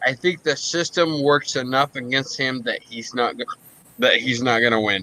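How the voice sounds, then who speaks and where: Noticeable background noise behind a man's voice at medium pitch. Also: ordinary pitch variation, moderate pace. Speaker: podcast co-host and military veteran. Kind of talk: casual political chat. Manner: slurred, hiccuping.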